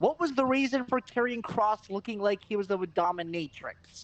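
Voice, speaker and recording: Noticeable background noise sits under an animated tone delivered at a moderate pace. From Canada, Eastern European heritage. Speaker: wrestling podcast co-host. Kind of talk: casual chat. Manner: animated ranting.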